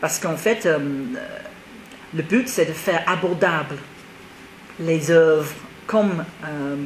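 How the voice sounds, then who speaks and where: Noticeable background noise accompanies a woman with fairly low pitch speaking at a fairly slow pace. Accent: English. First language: English (speaking French). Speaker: theatre director. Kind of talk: TV interview.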